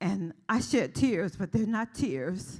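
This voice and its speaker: Over a silent background in a very clean recording, a woman with vocal fry speaks at a medium pitch, her pitch swinging very widely. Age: 70s. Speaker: local politician. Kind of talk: public comment at commission hearing.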